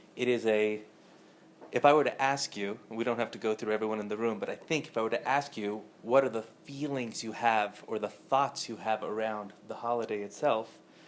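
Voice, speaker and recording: Soft-spoken and with an American accent, the speaker talks at a fairly quick pace with fairly even intonation. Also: man, medium pitch for a man. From Southern California. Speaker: spiritual teacher. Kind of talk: lecture. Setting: room with live audience.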